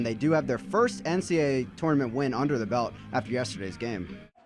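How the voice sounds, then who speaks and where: Over music in the background, a man with an American accent talks at a very fast pace, using lively intonation at a medium pitch. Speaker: college sports play-by-play broadcaster. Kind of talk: live sports play-by-play commentary.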